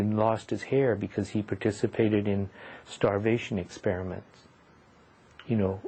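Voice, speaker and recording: In a Pacific Northwest accent, a man speaks with a fairly low pitch and a somewhat breathy quality. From US Pacific Northwest, Seattle. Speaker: retired educator and activist. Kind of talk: oral history interview.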